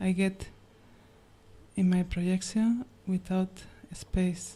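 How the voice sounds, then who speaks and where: A woman's very slow, monotone, flat delivery with a non-native accent, medium pitch, and a dark, mellow, somewhat breathy tone. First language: not English. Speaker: questioner at a spiritual gathering. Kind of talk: question to a teacher. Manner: halting.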